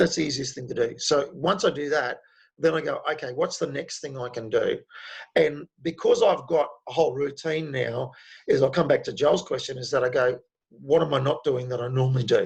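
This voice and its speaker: This man speaks with an Australian accent. His pace is fairly quick. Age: 60s. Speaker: speaker on men's health and stress. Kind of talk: online talk with Q&A.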